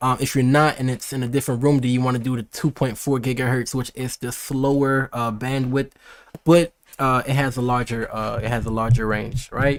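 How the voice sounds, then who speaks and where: A man with a medium pitch speaks at a fairly quick pace in an animated tone. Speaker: tech and gaming streamer. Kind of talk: live unboxing stream. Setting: livestream on YouTube. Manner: fast; casual, animated.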